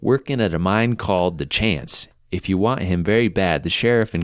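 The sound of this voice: Here is an unforced reading voice. The pitch varies in an ordinary way.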